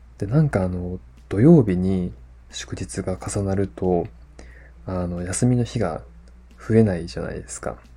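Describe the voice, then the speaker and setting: A man with a very deep, low pitch and a dark, mellow, relaxed tone speaks fairly slowly, somewhat breathy, with long, frequent pauses. His pitch swings very widely and his loudness swings a lot. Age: 30s. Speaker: podcast host. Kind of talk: casual solo podcast talk. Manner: relaxed, many fillers.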